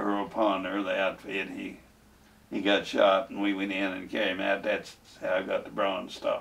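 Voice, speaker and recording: A man speaks with a Kentucky accent. His pace is moderate. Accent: southern US, rural Kentucky. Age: 80s+. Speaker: war veteran. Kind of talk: interview testimony. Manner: halting, hesitant.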